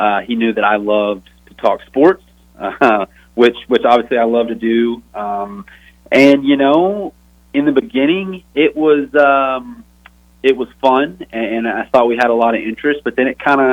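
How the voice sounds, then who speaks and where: This is a man with a slight Texan accent. His pitch sits in the medium range. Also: ordinary pitch variation, moderate pace. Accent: Texas accent, slight twang. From Texas. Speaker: former college football player, podcast host. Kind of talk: interview.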